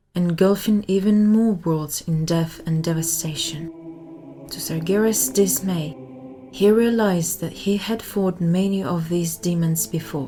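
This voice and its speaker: A woman talks at a fairly slow pace in a fairly low pitch with ordinary pitch variation. Music plays in the background. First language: not English. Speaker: audiobook narrator. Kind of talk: reading aloud.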